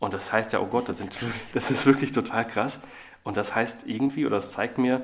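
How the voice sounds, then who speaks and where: Delivered at a fairly quick pace, this is a normal speaking voice with fairly even intonation. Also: man. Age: 40s. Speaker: agency CEO and author. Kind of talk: interview.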